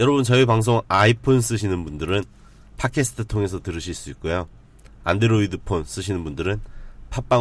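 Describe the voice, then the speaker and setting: With vocal fry and lively intonation, a man speaks at a fairly quick pace in a fairly low pitch. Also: big swings in loudness. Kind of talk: casual chat.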